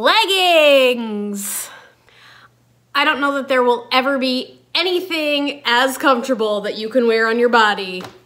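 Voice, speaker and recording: A woman's high-pitched voice with lively intonation, at a fairly slow pace. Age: 30s. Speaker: fashion consultant. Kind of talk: casual talk to camera.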